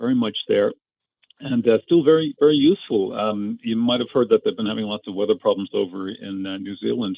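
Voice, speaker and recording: This is a man with a non-native accent. He speaks at a fairly quick pace. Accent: non-Australian accent, noticed as foreign. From Ireland. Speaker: amateur radio operator. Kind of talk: casual chat. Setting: phone call.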